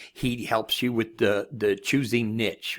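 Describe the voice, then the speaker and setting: A man's intonation stays fairly even while the background remains quiet. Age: 60s. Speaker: online marketing course reviewer. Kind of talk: screen-share product review. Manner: casual, conversational. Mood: encouraging, reassuring. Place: home room.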